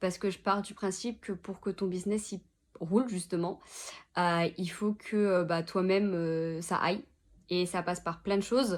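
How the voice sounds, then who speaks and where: Fairly even intonation at a fairly slow pace, on a very clean recording with a silent background. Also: woman, medium pitch for a woman. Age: 20s. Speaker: social media consultant, entrepreneur. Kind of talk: interview monologue. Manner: hesitant, many filler words.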